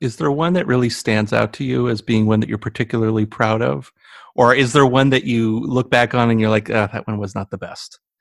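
A fairly quick, unremarkable speaking voice in a General American accent, with ordinary pitch variation, recorded very cleanly against a silent background with a dry, close sound and no echo. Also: man. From United States. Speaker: podcast host. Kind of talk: interview.

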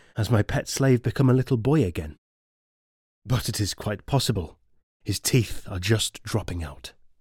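On a very clean recording with a silent background and a dry, close sound with no echo, a man with a fairly low pitch speaks at a moderate pace, sounding somewhat breathy, with lively intonation and long, frequent pauses. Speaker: audiobook narrator. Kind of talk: literary audiobook reading of a classical letter, in first person as Seneca.

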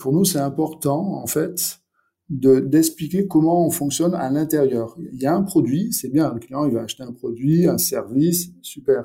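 Somewhat breathy and dark, mellow in tone, a man's fairly high voice shows ordinary pitch variation and big swings in loudness. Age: 40s. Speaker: startup founder and CEO. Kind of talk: interview. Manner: halting, with repetitions and fillers.

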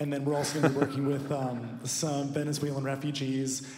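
A man speaks at a very fast pace in a medium pitch, with noticeable background noise behind him. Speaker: missionary. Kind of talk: church announcement. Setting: church.

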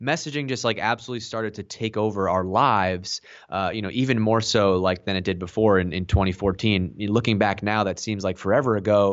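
A man with a normal speaking voice, fairly low in pitch, fairly even in intonation, at a fairly quick pace. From Boston, US. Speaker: marketing executive. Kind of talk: podcast interview. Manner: casual, repeats words.

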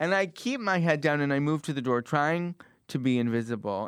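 A plain, everyday voice with an American accent, at a moderate pace with ordinary pitch variation, in a dry, close sound with no echo. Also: man. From US Midwest (Cleveland, Ohio). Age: 20s. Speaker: actor and playwright. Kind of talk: casual interview; live storytelling.

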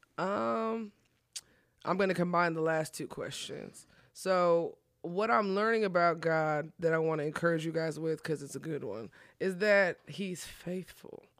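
In a very clean recording with a silent background, a woman with an American accent and a plain, everyday voice speaks at a fairly slow pace, her fairly low pitch showing ordinary pitch variation. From Texas, Collin County. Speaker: pastor. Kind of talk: testimony.

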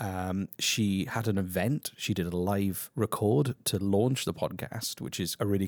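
A man with a normal speaking voice, fairly low-pitched, with ordinary pitch variation. The recording is very clean, with a silent background and a dry, close sound with no echo. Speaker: podcast co-host, former broadcaster. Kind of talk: interview.

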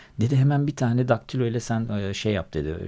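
A man with a dark, mellow tone talks at a fairly quick pace on a very clean recording with a silent background. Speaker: music journalist and radio presenter. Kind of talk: casual interview chat. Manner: hesitant with many filler sounds.

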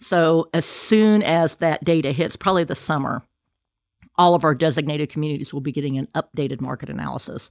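Speaking at a fairly quick pace, a woman with an American accent has a very deep, low pitch and ordinary pitch variation, recorded very cleanly against a silent background with a dry, close sound and no echo. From Kansas. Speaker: state downtown revitalization program director. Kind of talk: interview.

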